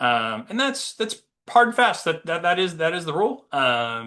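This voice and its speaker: Speaking at a fairly quick pace, a man uses lively intonation and a bright, sharp tone. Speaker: patent attorney presenter. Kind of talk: webinar presentation. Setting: webinar. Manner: fast; many fillers (um, uh).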